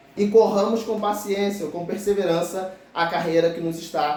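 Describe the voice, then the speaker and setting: Noticeable background noise and audible room echo surround a man who speaks high-pitched at a fairly slow pace with ordinary pitch variation. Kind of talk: sermon.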